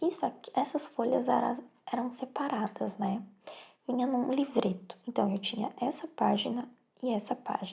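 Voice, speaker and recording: Soft-spoken, a woman talks in a high pitch with a dark, mellow tone. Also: ordinary pitch variation, moderate pace. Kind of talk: ASMR soft-spoken show and tell.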